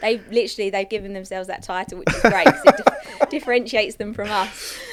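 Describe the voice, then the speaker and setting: Speaking at a very fast pace in an English accent, the voice shows ordinary pitch variation and big swings in loudness over noticeable background noise. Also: woman, fairly high pitch for a woman. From England. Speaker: recruiter. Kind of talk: podcast interview.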